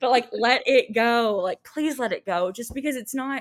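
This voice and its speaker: On a very clean recording with a silent background, a woman with an American accent speaks at a moderate pace in a plain, everyday voice. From Texas. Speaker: special education coordinator. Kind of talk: casual interview.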